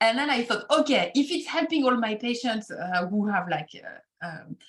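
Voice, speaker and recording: Lively intonation runs through this woman's speech. She speaks in a French accent. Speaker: acupuncturist. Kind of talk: podcast interview. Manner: halting.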